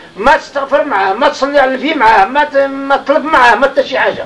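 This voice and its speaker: Noticeable background noise surrounds a man with a Moroccan accent who talks at a fairly quick pace in an extremely high voice. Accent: Moroccan Arabic (Darija). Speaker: religious teacher. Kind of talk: informal religious lesson to a seated group.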